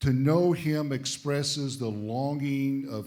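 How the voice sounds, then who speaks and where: Lively in intonation, a man speaks at a very slow pace with fairly high pitch and a dark, mellow tone. Room echo is audible. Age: 60s. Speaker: visiting pastor. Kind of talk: sermon. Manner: short phrases with pauses for the interpreter.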